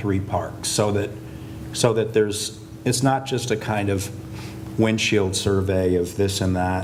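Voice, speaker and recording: There is noticeable background noise and audible room echo as a man with an American accent speaks at a fairly slow pace with ordinary pitch variation. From US Northeast, Hudson Valley. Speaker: landscape architect. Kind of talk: lecture. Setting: lecture hall with audience. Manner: hesitant, many fillers.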